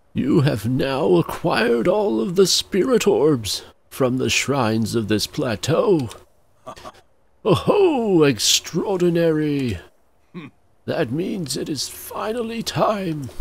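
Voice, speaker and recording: A man puts on a character voice at a fairly high pitch. He speaks fairly slowly, and his pitch swings very widely. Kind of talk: formal, expository. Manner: enthusiastic, excited.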